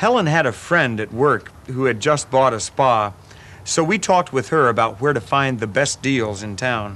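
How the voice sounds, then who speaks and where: Music plays in the background as a man speaks at a moderate pace. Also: lively intonation. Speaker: actor playing a homeowner. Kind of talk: scripted testimonial narration to camera. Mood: friendly, light humorous. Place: garden.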